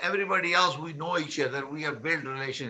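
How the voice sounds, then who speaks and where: A man talks with ordinary pitch variation amid audible room echo. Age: 60s. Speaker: real estate broker and conference host. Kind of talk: online conference presentation. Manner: halting, with frequent fillers and repetitions.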